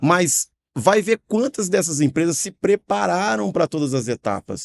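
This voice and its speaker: With a slight Minas Gerais accent, a man's voice makes very wide pitch swings in a dry, close sound with no echo. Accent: slight Mineiro. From Minas Gerais, Brazil. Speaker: franchise company director. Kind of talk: podcast discussion.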